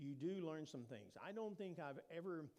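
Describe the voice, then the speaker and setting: In an American accent, a man speaks at a moderate pace and a fairly high pitch with lively intonation, and audible room echo surrounds him. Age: 60s. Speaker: preacher. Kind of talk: informal sermon talk. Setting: church.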